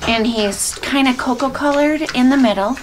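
A woman speaks with a high voice. Noticeable background noise can be heard behind her. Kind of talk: casual vlog chat. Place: farm machine. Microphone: camera far.

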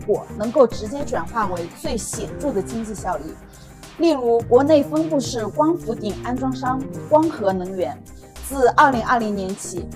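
A woman talks at a moderate pace. Clear music is heard in the background. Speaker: presenter. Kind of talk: scripted promotional talk. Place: office. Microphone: lapel.

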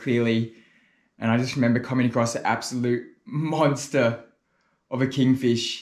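The pace of this man's speech is moderate. Monotone, flat intonation marks his delivery. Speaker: spearfishing vlogger. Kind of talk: casual vlog chat. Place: home room.

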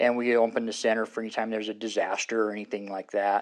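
A man with an American accent, fairly low-pitched, monotone and flat, at a fairly quick pace over a quiet background. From Arizona. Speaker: community member. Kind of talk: interview answer. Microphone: lapel.

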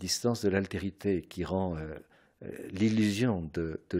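Against a quiet background, a man speaks in a fairly low voice with ordinary pitch variation. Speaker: philosopher. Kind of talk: radio interview answer. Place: home room. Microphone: studio mic.

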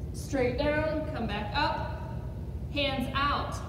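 High-pitched woman's voice, monotone and flat, amid noticeable background noise and audible room echo. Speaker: physical therapy instructor. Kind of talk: tutorial. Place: gym. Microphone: camera far.

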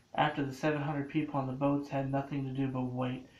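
Over audible room echo, a man talks at a moderate pace at medium pitch, with little pitch movement.

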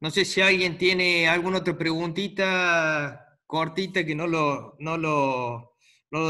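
Speaking at a very slow pace, a man uses fairly even intonation and a fairly high pitch against a quiet background. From Argentina. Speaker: chess course organizer; host or moderator of online chess talk. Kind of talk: casual moderation; moderator remarks in online talk. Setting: video call. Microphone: video call.

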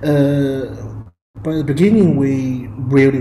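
Amid light background noise and audible room echo, a man speaks at a fairly slow pace with fairly even intonation. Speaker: speaker. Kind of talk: lecture. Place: home room. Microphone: webcam.

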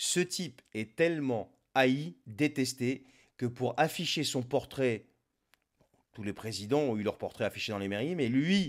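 Against a quiet background, a man talks very slowly. His pitch varies in an ordinary way. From Lebanon. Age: 40s. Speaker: political commentator. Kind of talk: political monologue. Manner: sarcastic. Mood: sarcastic, mocking. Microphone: studio mic.

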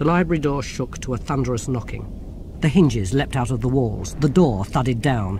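Simply a natural reading voice

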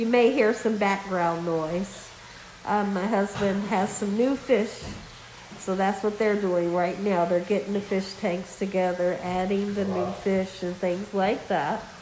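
A woman talks at a fairly slow pace with fairly even intonation. Audible room echo and light background noise are present. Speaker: cooking channel YouTuber. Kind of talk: casual vlog update. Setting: at home on couch. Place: home room. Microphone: phone near.

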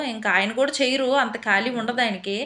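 With a bright, sharp tone, a woman speaks at a fairly high pitch and with fairly even intonation. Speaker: housewife vlogger. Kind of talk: vlog voice-over narration. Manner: usually loud.

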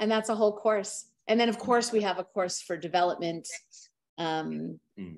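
In a quiet background, a woman talks at a moderate pace with ordinary pitch variation. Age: 50s. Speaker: animal sanctuary founder; guest. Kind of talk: interview. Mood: warm, earnest. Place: home room. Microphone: video call.

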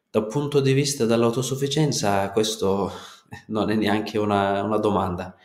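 The speech moves at a moderate pace with ordinary pitch variation, and room echo is audible. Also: man, fairly low pitch for a man. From Kurdistan, Turkey. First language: Turkish or Kurdish (speaking Italian). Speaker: natural farmer. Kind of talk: interview.

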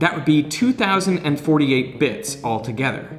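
A man with lively intonation. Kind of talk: educational explanation. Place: home room.

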